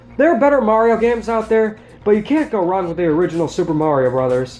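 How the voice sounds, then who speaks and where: Background noise is noticeable throughout. The words come out at a very fast pace. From United States. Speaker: video game reviewer. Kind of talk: game review voice-over. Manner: casual, wry.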